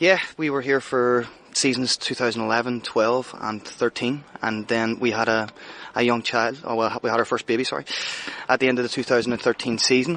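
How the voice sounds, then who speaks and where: This man has a Northern Irish accent, a medium pitch and fairly even intonation, and he talks at a fairly quick pace. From Northern Ireland, Belfast. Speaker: head chef. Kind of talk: interview. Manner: casual, hesitant fillers.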